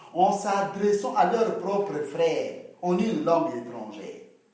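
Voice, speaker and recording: There is audible room echo as a man talks at a very slow pace in a high voice. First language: local Congolese language (speaking French). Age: 40s. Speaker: interviewee. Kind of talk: casual debate. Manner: animated.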